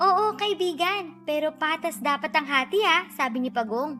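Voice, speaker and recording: With music in the background, a woman projects a raised, high voice with lively intonation at a fairly slow pace. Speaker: voice-over artist. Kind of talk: children's read story.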